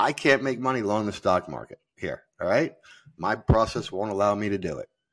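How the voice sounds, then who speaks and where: Vocal fry from a man at fairly low pitch and a moderate pace. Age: 50s. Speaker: futures trader and hedge fund manager. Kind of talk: interview. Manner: halting, many fillers and repetitions.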